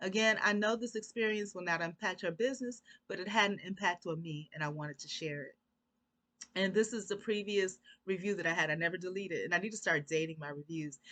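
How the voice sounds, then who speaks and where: A woman with a bright, sharp tone talks very fast at a medium pitch, her loudness swinging a lot while her pitch varies in an ordinary way. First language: Korean. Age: 40s. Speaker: YouTuber. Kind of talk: reading aloud.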